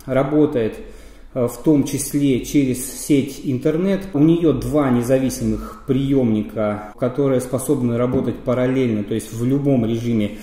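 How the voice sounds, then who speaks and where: Audible room echo carries a man speaking at a fairly slow pace. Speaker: radio equipment reviewer. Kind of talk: product review explanation. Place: office.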